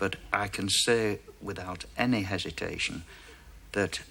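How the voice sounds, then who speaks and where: At a fairly slow pace, a man speaks in a normal speaking voice with a fairly low pitch. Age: 60s. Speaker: dating show contestant, war veteran. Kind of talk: recorded interview segment recounting a date.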